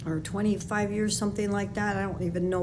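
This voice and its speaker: Spoken at a fairly quick pace with an American accent, the voice carries audible room echo. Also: woman. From Chicago, West Side. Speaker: podcast host, former sales trainer and public speaker. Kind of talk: personal monologue. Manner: casual, with fillers.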